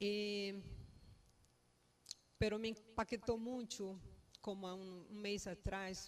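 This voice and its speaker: A woman with a Brazilian accent at a very slow pace, monotone, flat intonation, big swings in loudness and long, frequent pauses. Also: medium pitch for a woman. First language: Portuguese (speaking Spanish). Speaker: family member giving eulogy. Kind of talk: eulogy. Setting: funeral home. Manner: halting.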